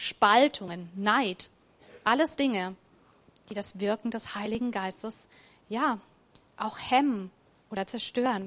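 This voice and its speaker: The woman's pitch is fairly high and shows ordinary variation. She speaks very slowly. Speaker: preacher. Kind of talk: sermon in a church service, warm and conversational, with a closing prayer. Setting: church. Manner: animated, enthusiastic and upbeat; casual, plain-spoken, encouraging, with a rhetorical 'oder?'.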